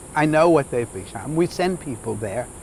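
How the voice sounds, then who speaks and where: A man at a moderate pace with lively intonation, amid noticeable background noise. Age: 70s. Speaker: lodge owner. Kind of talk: interview. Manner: halting.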